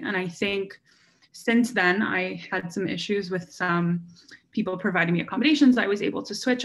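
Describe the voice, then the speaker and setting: Using an ordinary speaking voice, a woman speaks at a fairly quick pace with medium pitch and ordinary pitch variation. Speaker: university student panellist. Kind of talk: panel discussion.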